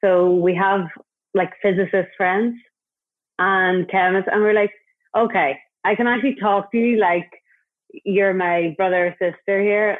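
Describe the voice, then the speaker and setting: A woman with an Irish accent speaks at a fairly slow pace, leaving long, frequent pauses, her loudness very even and her intonation fairly even. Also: medium pitch for a woman. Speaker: hair stylist and brand founder. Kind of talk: casual interview.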